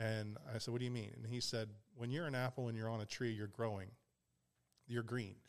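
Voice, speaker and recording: With an American accent, a man talks at a medium pitch and a fairly quick pace. His intonation is fairly even, and he takes long, frequent pauses. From Pittsburgh, US. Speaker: marketing director. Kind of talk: casual chat.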